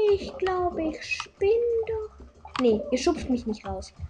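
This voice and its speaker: A woman's extremely high voice with very wide pitch swings, a very slow pace, long and frequent pauses, and noticeable background noise. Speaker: gaming content creator. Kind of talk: gameplay commentary. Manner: animated.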